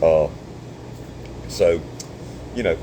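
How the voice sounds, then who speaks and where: The speaker has a Southern US accent, a moderate pace and ordinary pitch variation. Noticeable background noise is present. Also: man. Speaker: surveyor and vlogger. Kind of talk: casual monologue. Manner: halting.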